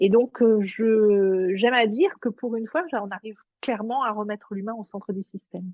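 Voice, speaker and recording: Fairly high in pitch, a woman speaks with ordinary pitch variation. Her pace is moderate. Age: 50s. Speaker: executive coach. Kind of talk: interview. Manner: hesitant, many fillers.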